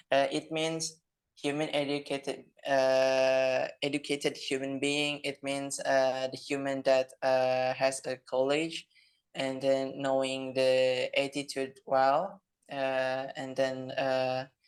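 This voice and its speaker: A non-native accent at a very slow pace. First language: non-native English speaker. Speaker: discussion participant. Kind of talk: group discussion. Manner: halting.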